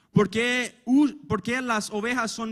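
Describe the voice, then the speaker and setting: Over a silent background in a very clean recording, a man with a non-native accent talks at a fairly slow pace. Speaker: preacher. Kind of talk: sermon. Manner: halting.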